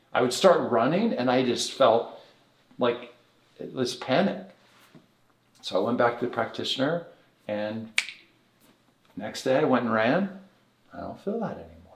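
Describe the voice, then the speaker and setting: A man's medium-pitched voice with big swings in loudness and long, frequent pauses, plus audible room echo. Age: 60s. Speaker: bodywork therapy director. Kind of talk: podcast interview. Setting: podcast recording in Las Vegas.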